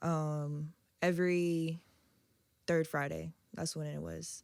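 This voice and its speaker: A woman speaks quietly in a very deep, low voice with an American accent, her intonation monotone and flat, broken by long, frequent pauses. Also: very clean recording, silent background. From Virginia Beach, Virginia. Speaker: DJ and visual artist. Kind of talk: casual interview chat. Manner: low, quiet.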